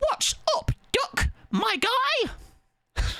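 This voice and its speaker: Putting on a character voice, a man pitches it extremely high. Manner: casual, cocky, playful.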